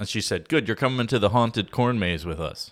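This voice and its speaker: A man with a Chicago accent and lively intonation on a very clean recording with a silent background. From Chicago, Illinois (Oak Lawn). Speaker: recipe and cooking guest. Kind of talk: casual chat.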